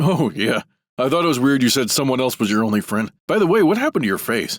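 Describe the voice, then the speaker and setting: A cartoonish character voice at a very fast pace, on a very clean recording with a silent background. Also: man, medium pitch for a man. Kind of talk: comic overacting. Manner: naive, enthusiastic.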